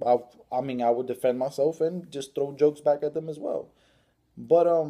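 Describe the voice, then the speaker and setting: A man speaks at a fairly quick pace in a fairly high pitch. His tone is dark and mellow, with ordinary pitch variation. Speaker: vlogger. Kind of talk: personal vlog monologue. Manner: halting with repetitions and fillers; casual.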